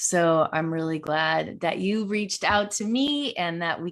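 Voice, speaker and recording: In a very clean recording with a silent background, a woman speaks with lively intonation at a fairly low pitch. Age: 40s. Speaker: podcast host and leadership coach. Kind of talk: interview. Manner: animated.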